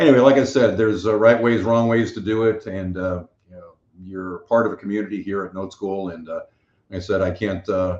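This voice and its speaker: This man talks at a fairly quick pace with an American accent. His pitch varies in an ordinary way. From US Northeast. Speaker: podcast host, note investor. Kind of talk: podcast monologue. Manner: fast; halting, many fillers.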